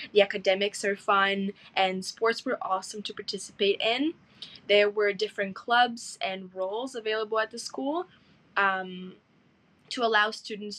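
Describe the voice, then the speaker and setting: Medium-pitched woman with a non-native accent, ordinary pitch variation and a moderate pace. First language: not English. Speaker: school alumna. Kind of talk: interview answers. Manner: hesitant fillers.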